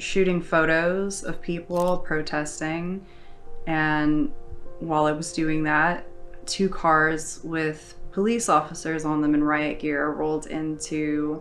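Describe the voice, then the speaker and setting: A woman's very deep, low, monotone, flat voice at a very slow pace, with faint music in the background. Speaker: journalist interviewee. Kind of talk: interview answer. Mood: serious, measured. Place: home room.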